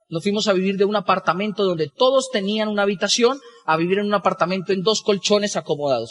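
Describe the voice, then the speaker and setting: A high-pitched man talks at a very fast pace. The sound is dry and close, with no echo. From Colombia, Boyacá. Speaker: business motivational speaker. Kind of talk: motivational talk.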